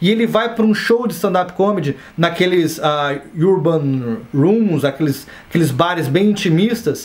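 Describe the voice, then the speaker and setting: Lively intonation, with noticeable background noise and audible room echo. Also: man. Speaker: stand-up comedian and comedy teacher. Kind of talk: online course lecture. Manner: casual, conversational.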